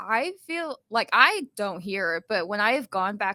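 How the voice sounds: A bright, sharp voice with a slight Southern US accent comes through in a dry, close sound with no echo. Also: woman. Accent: light Southern twang.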